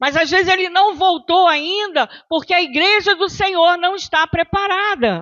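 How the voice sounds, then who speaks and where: Barely pausing, a woman with an extremely high pitch talks at a fairly slow pace and very even loudness. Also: ordinary pitch variation. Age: 60s. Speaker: pastor. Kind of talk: sermon.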